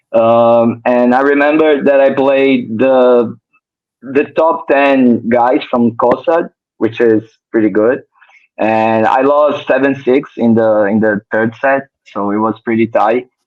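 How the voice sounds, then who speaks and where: At a very slow pace, a man with a Portuguese accent speaks at a medium pitch with fairly even intonation and very even loudness. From Brazil. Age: 20s. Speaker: professional tennis player. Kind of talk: interview. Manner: halting.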